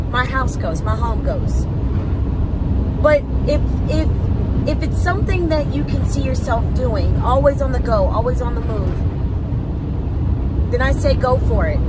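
With long, frequent pauses, a woman talks at a fairly slow pace, her voice dry with no echo against loud background noise. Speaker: van life vlogger. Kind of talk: casual vlog chat. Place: car. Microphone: phone near.

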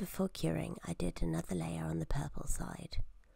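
A soft-spoken woman talks at a moderate pace. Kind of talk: instructional tutorial narration.

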